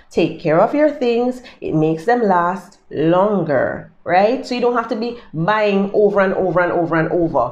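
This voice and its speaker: With a Jamaican accent, a woman speaks in an animated tone at a medium pitch and moderate pace, her intonation lively and her speech hardly pausing. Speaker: lifestyle YouTuber. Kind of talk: casual tips monologue. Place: home room. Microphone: phone near.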